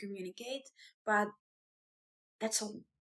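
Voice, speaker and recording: A woman with an Italian accent, her pitch fairly high and her intonation fairly even. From Italy, small town. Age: 30s. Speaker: vlogger and small business owner. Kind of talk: personal vlog introduction. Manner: hesitant, with fillers.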